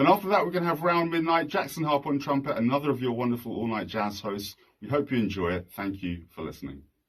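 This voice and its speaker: With a British accent, a man talks at a very fast pace with hardly any pauses, his medium-pitched voice making very wide pitch swings. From London, England. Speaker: jazz radio host and composer. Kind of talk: concert announcement.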